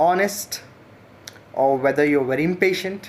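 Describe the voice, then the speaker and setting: A man with an Indian accent speaks at a fairly slow pace. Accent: Indian English, Telugu. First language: Telugu. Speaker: teacher. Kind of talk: channel introduction monologue. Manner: hesitant with fillers.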